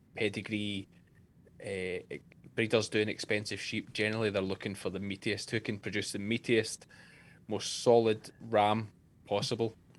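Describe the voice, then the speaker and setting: A man with a Scottish accent, fairly low in pitch, at a moderate pace in a monotone, flat intonation, broken by long, frequent pauses. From Scotland. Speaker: sheep farmer and shearer. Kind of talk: interview answer.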